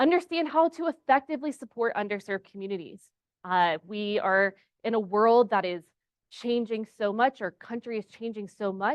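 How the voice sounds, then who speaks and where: Fairly high-pitched with lively intonation, a woman uses a normal speaking voice in an American accent at a moderate pace. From Texas. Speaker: pharmacist and clinical instructor. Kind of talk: conference presentation. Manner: casual, conversational.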